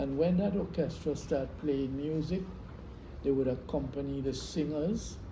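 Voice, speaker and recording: Audible room echo colors a man's somewhat breathy, dark, mellow voice, which has a fairly high pitch, ordinary pitch variation, and a fairly slow pace. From Trinidad, South Trinidad, Saint Patrick East. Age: 80s+. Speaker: veteran classical Indian dancer. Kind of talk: interview, life story. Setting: at his home.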